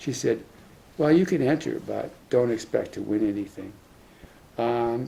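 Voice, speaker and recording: A man speaks at a moderate pace in a medium pitch, his dark, mellow tone edged with vocal fry and carried by lively intonation. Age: 80s+. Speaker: retired professor. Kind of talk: talk sharing life lessons. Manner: halting, with fillers.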